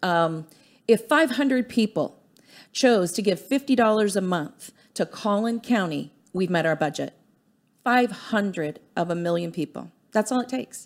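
A normal speaking voice from a woman of medium pitch, with lively intonation at a moderate pace, on a very clean recording with a silent background. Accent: American. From US military family. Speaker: grassroots political activist. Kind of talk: studio interview. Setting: studio.

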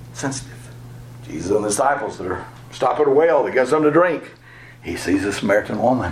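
Over noticeable background noise, a man at medium pitch talks at a very fast pace with lively intonation, broken by long, frequent pauses. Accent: Southern US. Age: 60s. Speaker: pastor. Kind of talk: workshop lecture. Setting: live session with small audience. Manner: conversational.

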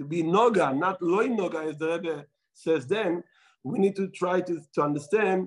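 A man with an Israeli accent at a moderate pace. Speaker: rabbi. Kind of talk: talk to an audience, storytelling. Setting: Melbourne, Australia. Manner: halting, with fillers.

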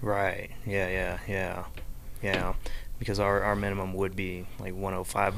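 Audible room echo surrounds a man with an American accent. He speaks at a very slow pace and fairly low pitch, with fairly even intonation. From Florida, US South. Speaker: lawn care franchise owner. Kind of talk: casual chat. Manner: halting, repeats words.

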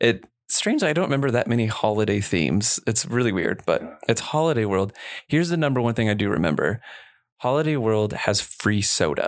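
Very clean and recorded against a silent background, a man with an unremarkable speaking voice and medium pitch talks fairly quickly, his loudness very even and his intonation lively. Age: 30s. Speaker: youth ministry director. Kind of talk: casual chat.

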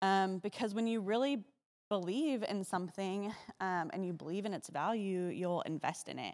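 A woman's medium-pitched voice moves at a moderate pace with ordinary pitch variation. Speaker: church member leading giving prayer. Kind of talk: testimony and prayer. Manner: halting, filler words.

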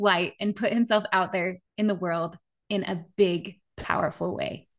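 A woman with an American accent talks in an animated tone at a moderate pace. The background is quiet. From Utah (Park City). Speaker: podcast host. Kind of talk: interview; scripted outro.

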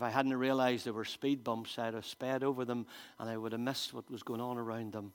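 A man's very fast, flat, monotone delivery at a medium pitch, with a Northern Irish accent. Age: 50s. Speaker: pastor. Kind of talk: sermon. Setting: church.

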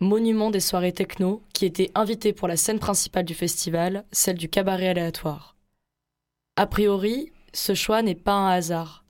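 A woman with an ordinary speaking voice, medium pitch, fairly even intonation and a moderate pace, in a very clean recording with a silent background. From Marseille, southern France. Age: 20s. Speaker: radio host. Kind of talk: scripted narration.

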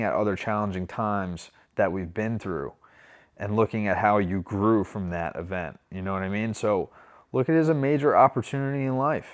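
A man with an ordinary speaking voice talks at a moderate pace in a fairly low pitch with ordinary pitch variation, on a very clean recording with a silent background. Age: 30s. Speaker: recovery podcast host. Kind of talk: motivational monologue. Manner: casual, repetitive with many fillers.

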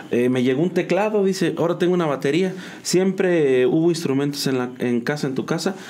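A man with a normal speaking voice, fairly high pitch, ordinary pitch variation, fairly quick pace, and very even loudness. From Mexico, San Juan del Río, Querétaro. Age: 30s. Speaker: musician and graphic designer. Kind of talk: casual interview.

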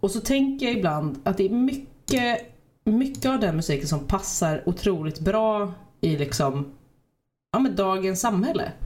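Very wide pitch swings at a fairly slow pace, with very even loudness and audible room echo. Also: woman. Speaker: podcast host. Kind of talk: casual chat.

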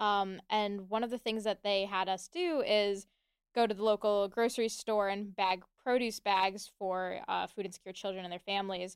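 In a normal speaking voice, a woman of medium pitch talks at a moderate pace with fairly even intonation, the sound dry and close with no echo on a very clean recording with a silent background. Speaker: student organization co-founder. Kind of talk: radio interview.

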